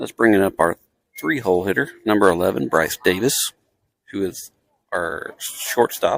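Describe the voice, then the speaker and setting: Soft-spoken and fairly low-pitched, a man talks with ordinary pitch variation and long, frequent pauses, the sound dry and close with no echo. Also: moderate pace. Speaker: amateur livestream commentator. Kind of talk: live commentary. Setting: in the stands at a baseball game. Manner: quiet, soft-spoken.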